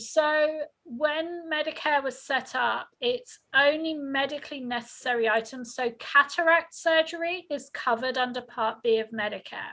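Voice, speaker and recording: Over a quiet background, a woman projects a raised, high-pitched voice with a bright, sharp tone, ordinary pitch variation and hardly any pauses. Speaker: health insurance counselor. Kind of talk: informational presentation. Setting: video call. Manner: fast.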